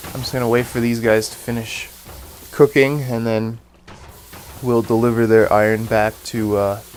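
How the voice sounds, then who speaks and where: With music playing in the background, a man speaks in a monotone, flat intonation. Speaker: gaming video creator. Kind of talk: gameplay commentary. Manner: casual, many filler words.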